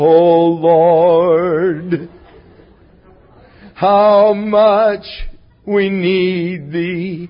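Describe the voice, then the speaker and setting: Using a put-on character voice, a man speaks high-pitched and shaky in a monotone, flat intonation. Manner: spiritual, drawn-out, sustained notes.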